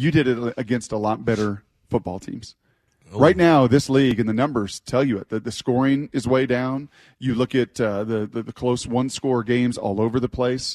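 With a plain, everyday voice, a man speaks at a moderate pace and medium pitch with fairly even intonation, in a dry, close sound with no echo over a quiet background. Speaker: sports radio host. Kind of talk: sports radio discussion. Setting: studio.

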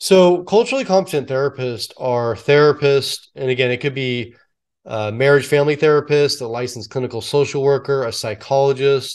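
Against a quiet background, a man with a General American accent uses a plain, everyday voice at a fairly high pitch, talking at a moderate pace with ordinary pitch variation. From US West Coast, San Francisco Bay Area. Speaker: retired police officer and public speaker. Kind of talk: interview.

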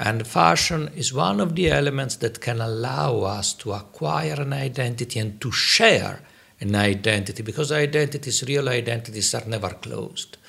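With a bright, sharp tone and vocal fry, a man speaks at a medium pitch and a moderate pace. His intonation is lively, and he hardly pauses at all. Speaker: UN officer and podcast host. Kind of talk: interview chat.

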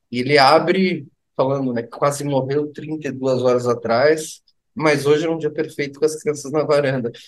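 With fairly high pitch and fairly even intonation, a man speaks at a moderate pace. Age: 40s. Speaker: rock musician, singer and guitarist. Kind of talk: casual chat.

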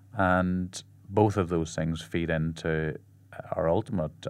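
The man speaks very slowly with an Irish accent. His pitch is very deep and low. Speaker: blind athlete and paralysis advocate. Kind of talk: interview. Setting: studio.

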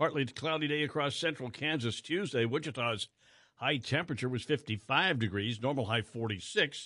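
This man has an ordinary speaking voice, medium pitch and an American accent, talking at a moderate pace with lively intonation. The background is quiet. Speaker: radio news host. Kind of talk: radio newscast reading headlines. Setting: radio studio broadcast.

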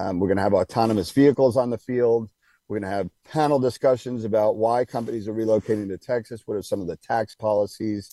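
A man with an American accent speaks very fast at a medium pitch, with a dark, mellow tone, fairly even intonation, and a dry, close sound with no echo. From New York. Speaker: business founder and CEO. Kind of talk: radio interview.

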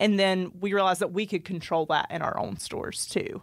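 In a Georgia accent, a woman talks at a fairly quick pace with fairly even intonation, in a very clean recording with a silent background. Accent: US Southern (Georgia). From Northeast Georgia, Royston. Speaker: clothing brand owner. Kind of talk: casual interview.

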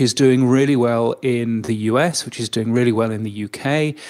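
A medium-pitched man's voice with a British accent. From Britain. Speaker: radio and audio industry consultant. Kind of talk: interview.

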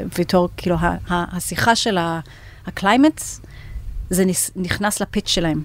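At a fairly slow pace, a woman talks in an unremarkable speaking voice with fairly even intonation. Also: fairly low pitch for a woman. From United States. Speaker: venture capital partner. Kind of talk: interview. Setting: studio.

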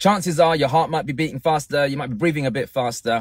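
A man with fairly high pitch and ordinary pitch variation speaks in an ordinary speaking voice at a fairly quick pace. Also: dry, close sound with no echo. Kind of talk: guided meditation.

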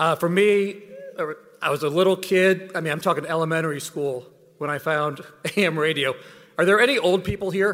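Over a very clean recording with a silent background, a man talks at a high pitch and a fairly quick pace. His pitch variation is ordinary, and he takes long, frequent pauses. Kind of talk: hall of fame acceptance speech, joking reminiscence. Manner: animated, jokey, broadcaster's easy delivery.

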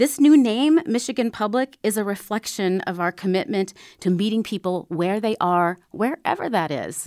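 A woman's unremarkable speaking voice, medium in pitch, with an American accent, lively intonation, a moderate pace and hardly any pauses, in a very clean recording with a silent background and a dry, close sound with no echo. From Minnesota, small town south of the Twin Cities. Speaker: public radio general manager. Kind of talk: interview.

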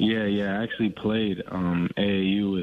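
Fairly low in pitch, a man talks at a moderate pace. His intonation stays fairly even.

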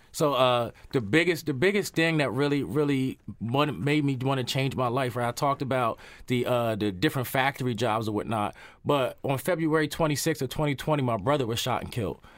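Speaking at a fairly quick pace, this man has an ordinary speaking voice pitched in the medium range. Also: ordinary pitch variation. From York, Pennsylvania, US. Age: 20s. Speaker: mentor and entrepreneur. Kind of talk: casual interview.

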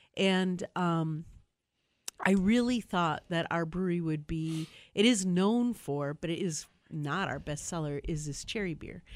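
A woman with a Wisconsin accent, fairly low pitch and ordinary pitch variation, at a fairly slow pace in a very clean recording with a silent background. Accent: Upper Midwest (Wisconsin). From Milwaukee, Wisconsin. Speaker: brewery owner. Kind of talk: casual chat.

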